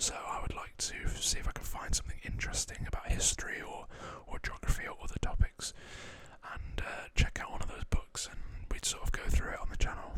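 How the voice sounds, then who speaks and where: Whispering at a fairly quick pace in a Lancashire accent. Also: man. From northwest England, Preston. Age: 20s. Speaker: ASMR creator. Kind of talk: Q&A reading viewer questions. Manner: soft-spoken.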